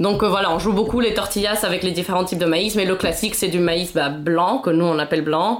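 Speech of very even loudness flows with hardly any pauses over noticeable background noise. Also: woman, medium pitch for a woman, ordinary pitch variation, fairly quick pace. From Mexico City. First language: Spanish (speaking French). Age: 20s. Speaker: podcast guest. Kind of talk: casual chat.

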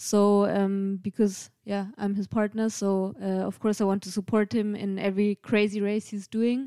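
With a German accent, a woman speaks in a dark, mellow tone and monotone, flat intonation, the sound dry and close with no echo. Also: medium pitch for a woman, moderate pace. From Germany, Bavaria. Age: 30s. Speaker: race support crew member. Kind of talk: casual chat.

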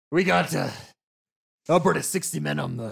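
Raspy, put-on character voice from a man, fairly high in pitch, at a moderate pace.

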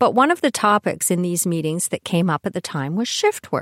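A woman's normal speaking voice at a medium pitch with lively intonation, dry and close with no echo, in a very clean recording with a silent background. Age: 60s. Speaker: podcast host, retired IT programmer. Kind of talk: monologue.

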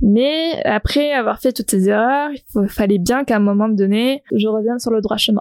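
At a fairly slow pace, a woman speaks with ordinary pitch variation in a dry, close sound with no echo. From southern France. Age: 20s. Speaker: podcast host, photographer and entrepreneur. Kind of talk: unscripted solo podcast monologue. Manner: casual, spontaneous with hesitations.

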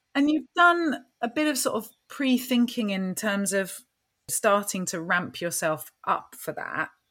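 A woman with an English accent, fairly high-pitched, with a bright, sharp tone and very wide pitch swings, on a very clean recording with a silent background. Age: 40s. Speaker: podcast host, business coach. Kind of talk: casual chat.

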